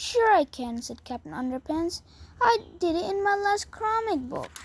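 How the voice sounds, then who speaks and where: Doing a put-on character voice, a woman speaks at a moderate pace with an extremely high pitch, very wide pitch swings and big swings in loudness. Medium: read story. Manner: boastful, naive.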